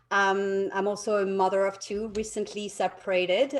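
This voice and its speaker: A woman's medium-pitched voice with a French accent, fairly even intonation and a fairly slow pace. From France, Paris. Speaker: realtor. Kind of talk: interview.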